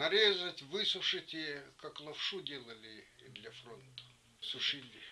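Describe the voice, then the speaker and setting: Lively intonation comes at a very slow pace over noticeable background noise. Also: man, fairly high pitch for a man. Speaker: wartime home-front witness. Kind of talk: interview answer.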